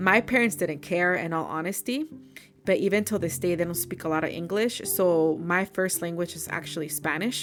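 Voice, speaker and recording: A woman speaks in a fairly low voice with music playing in the background. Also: ordinary pitch variation, moderate pace. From California, Mexican-American. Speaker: podcast host. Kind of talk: casual personal reflection monologue. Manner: casual, code-switching with Spanish.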